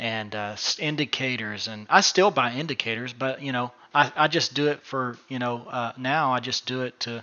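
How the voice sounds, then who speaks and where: A man with a normal speaking voice and a medium pitch talks at a moderate pace, with ordinary pitch variation and hardly any pauses. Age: 30s. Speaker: day trading educator. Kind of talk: casual chat.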